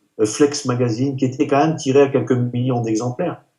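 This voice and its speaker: A man talks at a medium pitch in a dark, mellow tone. His intonation is monotone and flat. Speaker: retired professional bodybuilder. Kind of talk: interview. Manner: halting.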